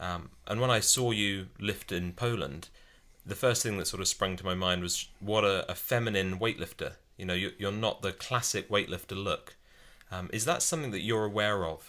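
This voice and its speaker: Fairly low in pitch with ordinary variation, a man with a British accent speaks in a bright, sharp tone in a very clean recording with a silent background. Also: moderate pace. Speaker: podcast co-host. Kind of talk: interview.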